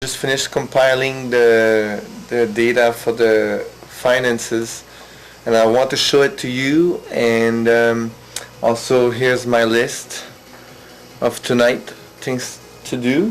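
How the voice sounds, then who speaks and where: Over noticeable background noise, a man with a French accent speaks very slowly with long, frequent pauses. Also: medium pitch for a man, fairly even intonation. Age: 30s. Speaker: vlogger, English teacher. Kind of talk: video diary. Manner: hesitant, many fillers.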